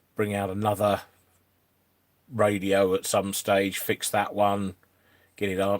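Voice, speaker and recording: In a very clean recording with a silent background, someone with an East Midlands accent talks at a fairly slow pace in a monotone, flat intonation, with long, frequent pauses. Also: man, fairly low pitch for a man. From England, Northampton. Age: 50s. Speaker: YouTuber and electronics repairer. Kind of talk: casual live-stream chat.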